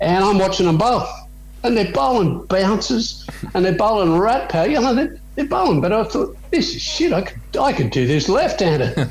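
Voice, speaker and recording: With music in the background, a man speaks at a moderate pace and very even loudness. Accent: Australian. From Australia. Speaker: former cricketer. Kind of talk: interview answer. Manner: casual, storytelling.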